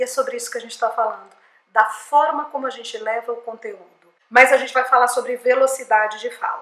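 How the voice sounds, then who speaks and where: A woman with a high voice talks very fast in a flat monotone, her loudness swinging widely. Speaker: speech therapist and communication coach. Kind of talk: educational talk to camera.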